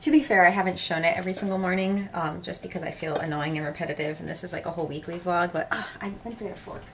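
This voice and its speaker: A woman with a fairly low pitch speaks at a very fast pace, with hardly any pauses and ordinary pitch variation. Her loudness swings widely, over noticeable background noise. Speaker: lifestyle vlogger and live streamer. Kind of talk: casual vlog talk to camera. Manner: casual, rambling, filler-heavy.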